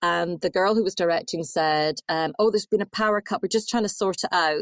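With an Edinburgh accent, a woman talks at a fairly quick pace and with lively intonation, in a quiet background with a dry, close sound and no echo. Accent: Scottish (Edinburgh). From Scotland, Edinburgh. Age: 40s. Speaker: author and journalist. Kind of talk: interview. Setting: remote call.

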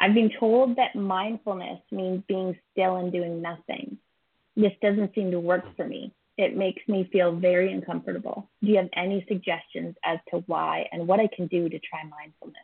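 With an ordinary speaking voice, a woman talks at a moderate pace and medium pitch, her loudness swinging widely. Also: ordinary pitch variation. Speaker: podcast co-host. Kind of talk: casual chat.

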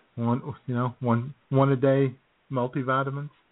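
The speaker keeps a moderate pace with little pitch movement. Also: man, medium pitch for a man.

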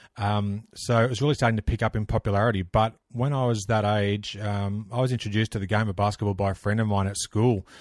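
A man with an Australian accent rushes along at a very fast pace with hardly any pauses, his fairly low voice flat and monotone, on a very clean, silent recording with dry, close sound and no echo. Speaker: basketball history podcaster. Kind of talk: casual interview.

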